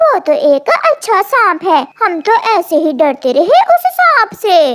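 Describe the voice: A woman's cartoonish character voice, squeaky and extremely high in pitch, at a moderate pace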